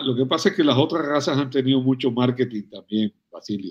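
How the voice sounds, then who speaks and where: Here is a man with a plain, everyday voice at medium pitch. He keeps a moderate pace and ordinary pitch variation. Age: 60s. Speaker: veterinarian and cattle rancher. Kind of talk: interview conversation.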